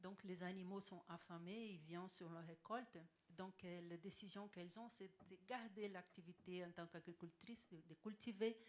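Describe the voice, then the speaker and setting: The speaker has a non-native accent and fairly even intonation. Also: woman, medium pitch for a woman, moderate pace. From Brazil. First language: Portuguese (speaking French). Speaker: panelist, agroecology activist. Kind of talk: panel presentation. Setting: conference room with audience. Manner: halting.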